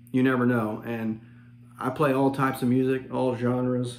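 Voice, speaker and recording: With audible room echo, a man speaks at a moderate pace. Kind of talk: casual vlog chat. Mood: relaxed, friendly. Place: home room. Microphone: phone near.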